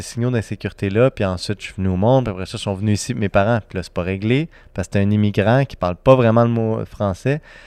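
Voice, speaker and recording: Speaking at a fairly quick pace, a man uses an ordinary speaking voice with a fairly low pitch. His pitch varies in an ordinary way. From Serbia, raised in Quebec. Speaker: entrepreneur, nonprofit founder. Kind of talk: casual chat.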